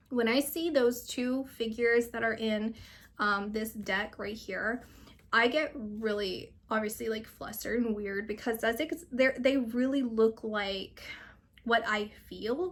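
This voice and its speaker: A woman speaks in a normal speaking voice, fairly high in pitch with ordinary pitch variation. Her pace is fairly slow. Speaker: psychic reader. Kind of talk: channeled reading and casual chat.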